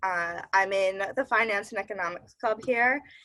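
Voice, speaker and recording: In a Midwestern accent, a woman speaks at a moderate pace and medium pitch, her tone bright and sharp and her intonation fairly even. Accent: Midwestern, long vowels. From US Midwest. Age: young. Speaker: college student. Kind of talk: casual interview.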